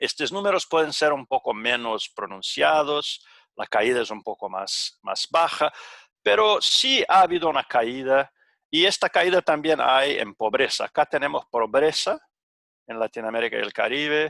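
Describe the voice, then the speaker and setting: Speaking at a fairly slow pace with a Portuguese accent, a man has a fairly high pitch and a bright, sharp tone. His intonation is lively, and the sound is dry and close with no echo. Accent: Portuguese-accented Spanish (portuñol). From Brazil. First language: Portuguese (speaking Spanish). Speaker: economist / panel presenter. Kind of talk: conference presentation. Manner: halting, many fillers.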